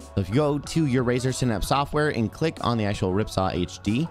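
A man is speaking over faint music in the background. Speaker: tech tutorial creator. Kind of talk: tutorial.

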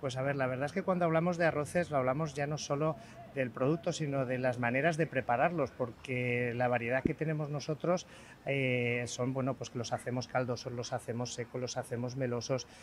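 A man at a fairly quick pace, with fairly even intonation, a dry sound with no echo and light background noise. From Spain. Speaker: chef. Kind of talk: live TV interview. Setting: outdoors. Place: street. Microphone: handheld.

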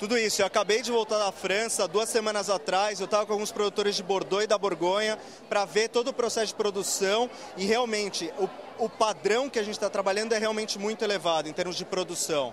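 Talking at a very fast pace, a man uses a high voice with fairly even intonation. The sound is dry with no echo, though background noise is noticeable. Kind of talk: interview answer. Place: hall. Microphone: handheld.

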